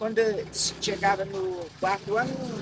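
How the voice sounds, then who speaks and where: A woman at a medium pitch and a moderate pace, with noticeable background noise. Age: 80s+. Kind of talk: life story testimony.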